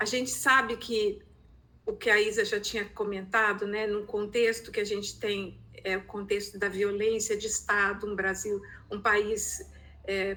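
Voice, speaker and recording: A woman's bright, sharp tone at medium pitch, fairly slow and in a monotone, flat intonation. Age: 60s. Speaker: researcher and art therapy educator. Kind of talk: training presentation. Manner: halting, many hesitations.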